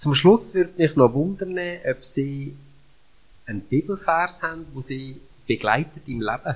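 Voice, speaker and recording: Somewhat breathy, a man speaks with lively intonation, big swings in loudness, and long, frequent pauses. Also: fairly high pitch for a man. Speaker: church podcast host. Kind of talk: interview.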